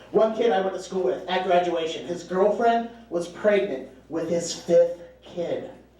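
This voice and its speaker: A man at a fairly slow pace with ordinary pitch variation, audible room echo and noticeable background noise. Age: 30s. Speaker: stand-up comedian. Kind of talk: stand-up. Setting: stage with audience.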